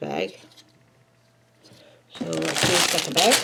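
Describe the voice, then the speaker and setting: A woman talks fairly slowly amid noticeable background noise. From Maine. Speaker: YouTuber building toy sets. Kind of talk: casual chat while building a Lego set. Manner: quiet.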